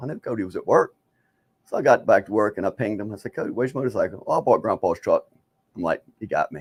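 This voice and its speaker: Recorded in a dry, close sound with no echo, a man speaks with an American accent. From East St. Louis, Illinois. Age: 60s. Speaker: motorcyclist and father. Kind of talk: casual chat. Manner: halting, repetitive.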